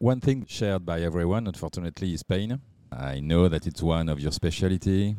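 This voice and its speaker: Speaking at a fairly quick pace with a French accent, a man has a very deep, low voice, a dark, mellow tone and ordinary pitch variation. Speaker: podcast host. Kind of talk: interview.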